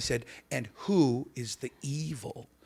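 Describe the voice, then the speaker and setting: His voice is somewhat breathy. The man's pitch sits in the medium range. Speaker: comedian and voice actor. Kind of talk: podcast interview answers, comedic banter.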